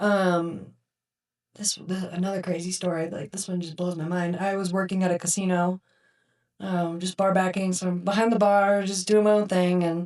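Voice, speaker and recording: Her voice is medium in pitch, and the woman keeps a moderate pace. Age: 30s. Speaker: burn survivor. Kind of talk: casual chat. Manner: animated.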